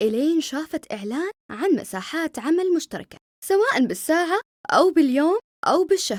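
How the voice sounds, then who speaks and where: The woman's voice sits at an extremely high pitch, with very wide pitch swings. She talks at a moderate pace. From Saudi Arabia. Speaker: voice actor. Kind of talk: commercial read in Saudi dialect.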